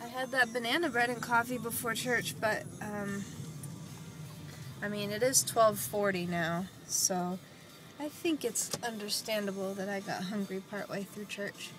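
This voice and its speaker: With an American accent and a relaxed tone, a woman speaks fairly slowly at a medium pitch with ordinary pitch variation, music playing in the background. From Texas. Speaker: vlogger. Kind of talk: casual vlog monologue.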